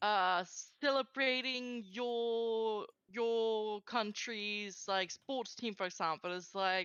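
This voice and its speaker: A woman talks in a fairly high voice, her pitch moving up and down in an ordinary way. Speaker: streamer guest. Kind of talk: casual chat.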